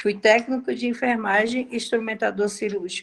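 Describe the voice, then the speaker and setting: A woman with a plain, everyday voice talks at a moderate pace and a fairly high pitch. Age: 60s. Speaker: course participant, former nursing technician. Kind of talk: question in online class.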